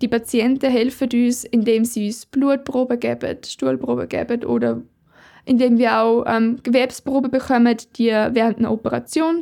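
A woman's high voice with a dark, mellow tone moves at a moderate pace in a very clean recording with a silent background. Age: 20s. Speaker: medical researcher and doctoral student. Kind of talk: personal account of her work.

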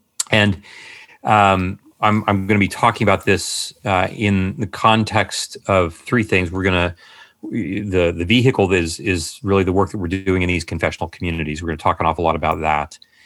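A man talks at a moderate pace with fairly even intonation. His pitch is very deep and low. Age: 50s. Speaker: psychiatrist and author. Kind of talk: interview conversation.

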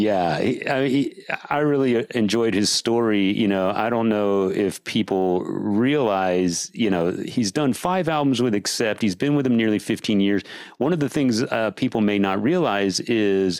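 A man talks at a fairly slow pace with ordinary pitch variation. His loudness stays very even. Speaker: podcast host. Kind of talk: casual chat. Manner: enthusiastic.

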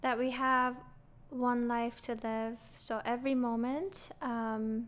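A woman speaks with a high pitch. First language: not English. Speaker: non-profit founder and educator. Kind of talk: interview.

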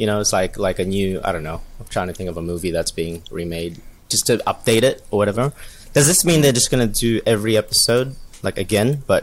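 A man with an Australian accent talks at a fairly quick pace. His pitch is fairly low and his intonation lively. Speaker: podcast co-host. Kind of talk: casual chat.

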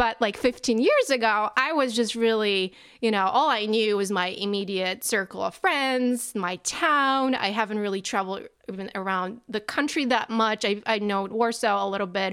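On a very clean recording with a silent background, a woman talks in a Polish accent. She keeps a moderate pace with ordinary pitch variation. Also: fairly high pitch for a woman. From Poland. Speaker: podcast guest. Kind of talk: casual chat.

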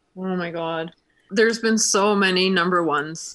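An ordinary speaking voice from a woman at medium pitch, fairly even intonation and moderate pace, in a very clean recording with a silent background. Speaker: donut business owner. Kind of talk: casual interview.

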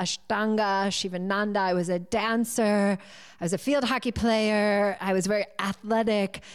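A woman with a New England accent talks at a moderate pace and medium pitch. Her intonation is fairly even, and the recording is very clean with a silent background. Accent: American, New England. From US Northeast, near Boston. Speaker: yoga teacher and coach. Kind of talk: interview.

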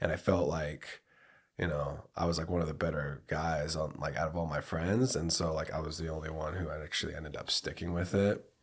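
A man with an American accent speaks at a very deep, low pitch and a fairly quick pace. His intonation is fairly even, and the recording is very clean with a silent background. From US Pacific Northwest (Port Angeles, Washington). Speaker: professional MMA fighter. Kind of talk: casual interview.

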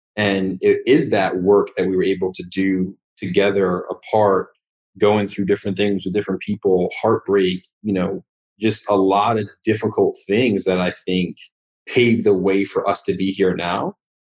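In a monotone, flat way, a man with an American accent talks at a moderate pace and a fairly low pitch. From Westchester, New York. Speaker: finance worker. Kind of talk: casual interview.

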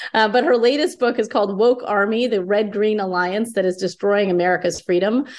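A woman speaks at a fairly quick pace with hardly any pauses. Her pitch is medium with ordinary variation, and her loudness stays very even. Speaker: podcast host, think tank fellow. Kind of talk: podcast interview. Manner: halting, many fillers.

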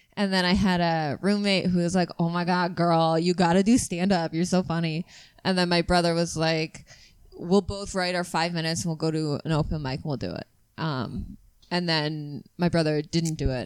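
A woman talks in an ordinary speaking voice, fairly low in pitch, at a moderate pace and with fairly even intonation. The recording is very clean, with a silent background. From Canada. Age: 30s. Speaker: comedian. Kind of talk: casual chat.

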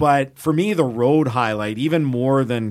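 A man with a Canadian accent and a plain, everyday voice, at a moderate pace with ordinary pitch variation. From Edmonton, Alberta, Canada. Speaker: football play-by-play announcer. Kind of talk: casual chat.

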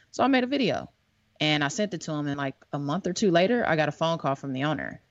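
The speaker has a normal speaking voice. The pace is fairly quick. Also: woman. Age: 30s. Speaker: podcast co-host and filmmaker. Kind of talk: casual chat.

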